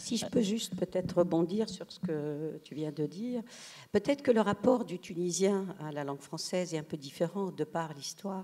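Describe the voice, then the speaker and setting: A woman's medium-pitched voice with a dark, mellow tone and big swings in loudness. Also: ordinary pitch variation, moderate pace. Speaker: writer. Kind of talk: panel discussion. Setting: stage with audience. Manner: halting.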